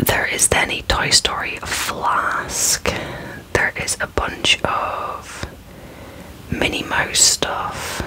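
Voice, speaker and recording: Someone whispers softly at a very slow pace. Noticeable background noise runs underneath. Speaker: toy unboxing host. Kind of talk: casual unboxing commentary. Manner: soft close ASMR whisper. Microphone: phone near.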